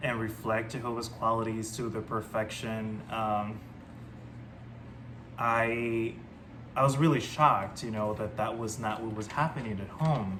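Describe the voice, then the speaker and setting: With a Spanish accent, a man talks at a moderate pace and medium pitch, and the room echo is audible. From Panama. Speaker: ex-Jehovah's Witness vlogger. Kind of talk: personal testimony. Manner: hesitant, many fillers.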